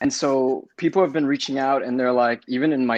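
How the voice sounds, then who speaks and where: A man with a fairly high pitch at a fairly quick pace. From Los Angeles, US (Compton). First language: Spanish. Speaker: casting director. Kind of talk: interview. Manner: halting.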